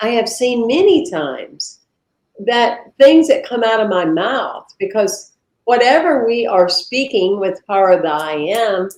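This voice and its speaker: In a Southern US accent, a woman with a fairly high pitch talks at a fairly slow pace with very wide pitch swings. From US South. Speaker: minister. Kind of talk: interview conversation. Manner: animated.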